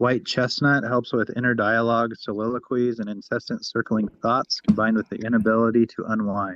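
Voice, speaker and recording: A man with an American accent talks at a fairly quick pace in an ordinary speaking voice. His pitch is medium and his intonation fairly even. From Wyoming, US. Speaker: energy healing practitioner. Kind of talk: reading aloud.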